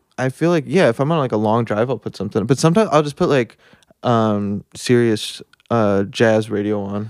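In an ordinary speaking voice, a man with an American accent talks at a fairly quick pace and medium pitch with ordinary pitch variation, the sound dry and close with no echo. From New Jersey (Denville area). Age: 30s. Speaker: singer-songwriter. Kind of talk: casual chat.

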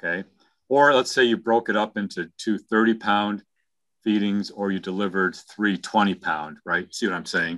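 A plain, everyday voice speaks with an American accent. The pace is fairly slow, with ordinary pitch variation. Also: man, fairly low pitch for a man. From New York. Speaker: webinar guest speaker, dairy researcher. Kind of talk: informal technical explanation.

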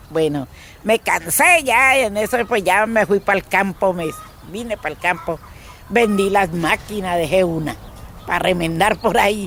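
With lively intonation, a woman speaks at a moderate pace and a medium pitch over noticeable background noise. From Colombia, Caquetá. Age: 60s. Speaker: displaced farmer and seamstress. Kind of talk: personal testimony. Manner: halting.

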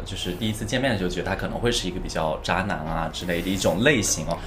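A man speaks over music in the background. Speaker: podcast host. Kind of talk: casual chat.

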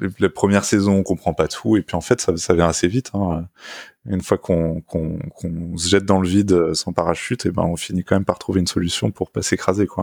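A man speaks in a very deep, low pitch at a fairly quick pace, his intonation fairly even. The recording is very clean with a silent background, and the sound is dry and close with no echo. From France, Paris region (Essonne). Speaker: tech journalist. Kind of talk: interview. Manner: halting, with frequent repetitions.

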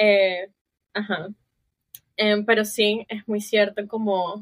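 A woman's voice at medium pitch. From Barranquilla, Colombia. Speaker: podcast guest, host's sibling. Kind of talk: casual family conversation.

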